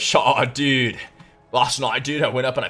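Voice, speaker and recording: Over background music, a raspy put-on character voice speaks at a moderate pace with monotone, flat intonation. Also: man, medium pitch for a man. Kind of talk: casual slang.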